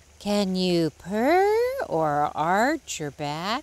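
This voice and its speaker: Using a put-on character voice at a medium pitch, a woman lets out a cackle. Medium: read story. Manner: cackling, scornful.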